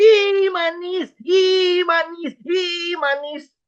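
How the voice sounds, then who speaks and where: In a put-on character voice, a woman speaks very slowly at an extremely high, shrill pitch with fairly even intonation. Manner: hysterical, shrieking.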